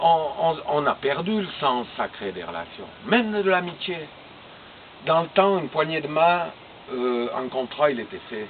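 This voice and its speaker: A man's speech with long, frequent pauses and noticeable background noise. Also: fairly high pitch for a man, lively intonation, fairly slow pace, big swings in loudness. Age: 60s. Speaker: sculptor. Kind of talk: interview. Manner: hesitant.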